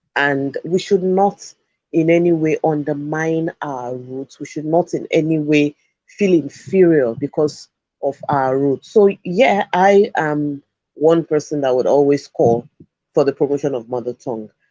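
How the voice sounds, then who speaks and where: A man with a Yoruba accent speaks fairly slowly in a dark, mellow tone at a fairly high pitch. The sound is dry and close, with no echo. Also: ordinary pitch variation. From Nigeria (Yoruba). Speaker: education show host. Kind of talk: talk show commentary.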